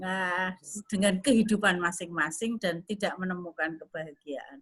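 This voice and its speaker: Her tone is bright and sharp, and this woman's pitch rises and falls in an ordinary way. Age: 60s. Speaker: women's organization leader and businesswoman. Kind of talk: religious talk / online lecture. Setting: online video call. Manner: conversational, with frequent fillers.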